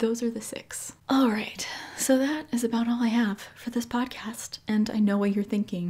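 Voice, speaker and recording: A somewhat breathy woman's voice with a dark, mellow tone, fairly even intonation and a moderate pace. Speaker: podcast host. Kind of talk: podcast monologue.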